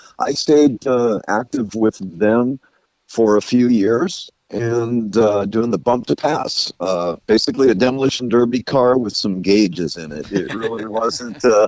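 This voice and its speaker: Fairly low in pitch, a man's voice comes through. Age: 60s. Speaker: race car driver. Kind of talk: casual interview. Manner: halting, many filler words.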